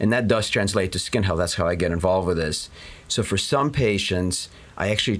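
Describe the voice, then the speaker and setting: This man has a normal speaking voice with a fairly low pitch. He moves at a fairly quick pace. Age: 40s. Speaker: dermatologist. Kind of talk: interview. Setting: studio.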